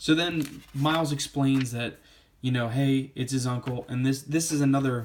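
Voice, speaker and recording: A man speaks at a medium pitch with fairly even intonation. His pace is moderate. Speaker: comic book reviewer. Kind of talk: casual review monologue.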